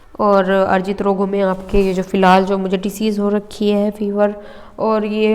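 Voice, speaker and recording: Female voice in a mid range, rather unhurried, with some echo from the room and clear background noise. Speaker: exam prep teacher. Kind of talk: lecture. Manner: halting, with pauses and self-corrections.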